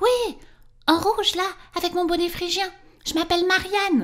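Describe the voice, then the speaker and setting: Using a squeaky, put-on character voice, a woman talks at a moderate pace with an extremely high pitch. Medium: read story.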